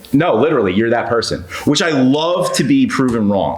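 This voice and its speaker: A man's medium-pitched voice with an American accent, very wide pitch swings, audible room echo and noticeable background noise. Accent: New York, toned down. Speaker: real estate guest, engineer. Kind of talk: podcast interview. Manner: casual, filler-heavy.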